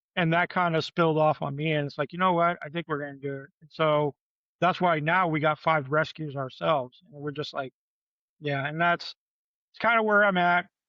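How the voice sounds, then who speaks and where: Fairly quick talk from a man with a normal speaking voice, an American accent, a fairly high pitch and big swings in loudness. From Michigan. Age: 50s. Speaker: podcast guest. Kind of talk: casual chat.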